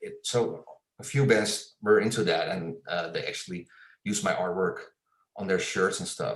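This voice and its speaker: A man speaks at a moderate pace with a Dutch accent. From Netherlands. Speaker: illustrator and graphic designer. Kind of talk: interview. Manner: halting, many fillers and repeats.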